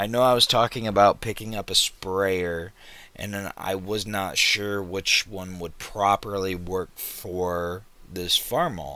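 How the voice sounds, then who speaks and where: On a very clean recording with a silent background, a man with a fairly low pitch and a bright, sharp tone speaks at a very slow pace with fairly even intonation. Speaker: gaming youtuber. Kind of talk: gameplay commentary. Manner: casual, conversational.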